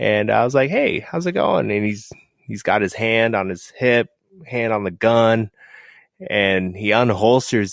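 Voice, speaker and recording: A plain, everyday voice with an American accent moves at a moderate pace. The recording is very clean, dry and close, with no echo and a silent background. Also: man. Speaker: photographer and writer. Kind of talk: casual chat.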